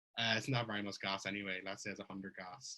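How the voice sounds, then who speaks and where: Words pour out of a man at a very fast pace. His tone is bright and sharp. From Ireland. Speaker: blockchain researcher giving a conference talk. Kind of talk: technical conference talk. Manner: conversational, with fillers and self-corrections.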